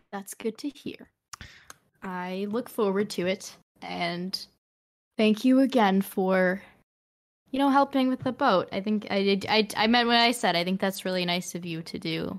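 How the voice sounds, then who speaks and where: A woman's medium-pitched voice, an ordinary speaking voice, moderately paced and with ordinary pitch variation. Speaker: tabletop role-play player. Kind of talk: casual tabletop role-play chat.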